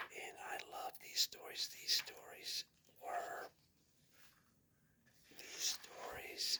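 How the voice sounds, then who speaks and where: Whispering at a very slow pace, a man is heard in a dry, close sound with no echo. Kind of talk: casual talk to camera, comic book unboxing.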